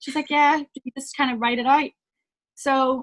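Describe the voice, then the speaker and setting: A woman with a high-pitched voice is heard in a dry, close recording with no echo. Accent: Northern Irish. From Northern Ireland, small town. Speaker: singer-songwriter. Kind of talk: interview storytelling.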